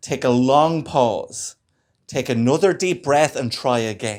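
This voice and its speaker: The speaker has an Irish accent. The intonation is lively. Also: man. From Ireland. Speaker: stand-up comedian. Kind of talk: stand-up comedy set. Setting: live comedy club. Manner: stammering, with pauses.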